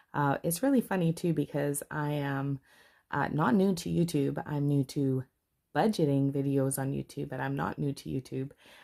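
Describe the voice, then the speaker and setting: In a Canadian accent, a woman speaks with a very deep, low pitch and a dark, mellow tone, on a very clean recording with a silent background and a dry, close sound with no echo. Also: ordinary pitch variation, moderate pace. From Canada. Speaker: budgeting vlogger. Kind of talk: casual chat. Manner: halting.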